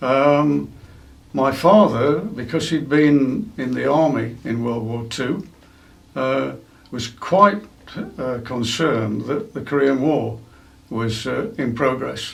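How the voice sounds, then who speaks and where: Speaking fairly slowly with an East Midlands accent, this voice has lively intonation and long, frequent pauses, heard with audible room echo. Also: man. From England, East Midlands (Derbyshire/Nottinghamshire). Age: 70s. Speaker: museum curator and former observer corps volunteer. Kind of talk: interview. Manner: hesitant, many fillers.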